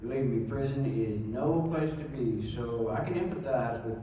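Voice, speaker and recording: Speaking in a Texan accent at a moderate pace, a man with a medium-pitched voice shows ordinary pitch variation over noticeable background noise. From Texas, Dallas. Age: 60s. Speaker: speaker giving personal testimony. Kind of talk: testimony.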